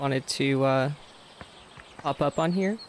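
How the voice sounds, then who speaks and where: A man is speaking with ordinary pitch variation. Background noise is noticeable. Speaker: gaming streamer. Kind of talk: gameplay livestream commentary. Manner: casual, chatty.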